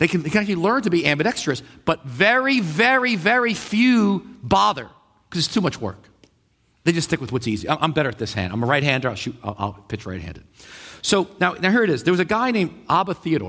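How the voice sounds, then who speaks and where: On a very clean recording with a silent background, a man with a high pitch and a bright, sharp tone speaks very fast in an animated tone, with very wide pitch swings. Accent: New York. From New York. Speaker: pastor. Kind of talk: sermon.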